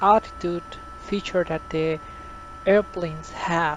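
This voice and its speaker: There is noticeable background noise as a woman talks in a Spanish accent. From Costa Rica. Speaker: flight simulator tutorial creator. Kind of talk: tutorial. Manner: halting, many fillers.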